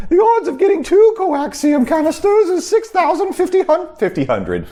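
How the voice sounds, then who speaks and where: A put-on character voice at an extremely high pitch, anxious in tone, at a moderate pace over light background noise. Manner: fretful, anxious, prissy.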